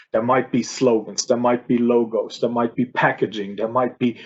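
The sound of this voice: Speaking at a moderate pace, a man has a medium pitch, a slightly mellow tone and a slightly husky edge.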